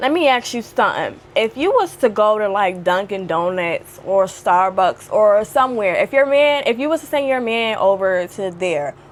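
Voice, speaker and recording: Over noticeable background noise, a woman talks at a moderate pace in a fairly high voice, with an animated tone and lively intonation. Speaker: video blogger. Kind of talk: casual chat. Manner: loud.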